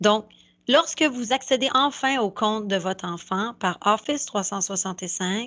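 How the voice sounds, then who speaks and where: A normal speaking voice moves at a fairly slow pace with ordinary pitch variation over a quiet background. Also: woman. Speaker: school staff presenting to parents. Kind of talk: tutorial.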